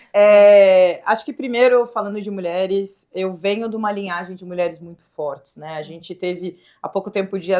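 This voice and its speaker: A woman's dark, mellow tone at a medium pitch and a moderate pace. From southern Brazil, Rio Grande do Sul (Pelotas). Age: young. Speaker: state government secretary, former tech executive. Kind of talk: podcast interview. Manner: animated.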